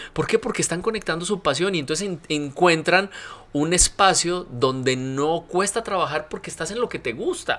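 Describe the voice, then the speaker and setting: Here a man with a high pitch speaks at a moderate pace, with ordinary pitch variation. His tone is bright, sharp and animated. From Colombia. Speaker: university rector; podcast guest. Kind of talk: interview. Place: studio. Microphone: studio mic.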